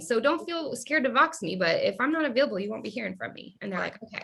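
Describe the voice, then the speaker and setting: Her voice raised and projected, a woman speaks high and very fast with very wide pitch swings and hardly any pauses. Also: big swings in loudness. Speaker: direct sales team leader. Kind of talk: casual chat. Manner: animated.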